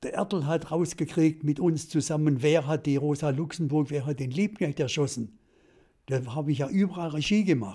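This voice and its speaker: A man with a fairly high pitch, dark, mellow tone, and somewhat breathy voice at a moderate pace with ordinary pitch variation, over a quiet background. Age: 80s+. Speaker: television director. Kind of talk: interview answer. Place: home room. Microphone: studio mic.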